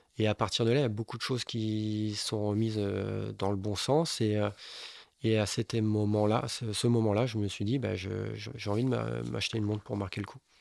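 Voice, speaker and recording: Delivered at a moderate speed, a plain, everyday voice keeps its intonation fairly even. Nothing sounds behind it on this very clean recording. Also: man, fairly low pitch for a man. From Bordeaux, France. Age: 30s. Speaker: building contractor, watch collector. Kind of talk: casual interview chat.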